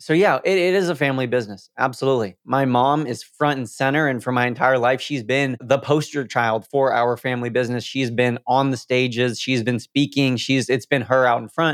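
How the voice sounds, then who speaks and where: A man in a normal speaking voice talks at a fairly quick pace with hardly any pauses, medium pitch, and ordinary pitch variation. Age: 20s. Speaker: Instagram growth coach. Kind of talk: interview.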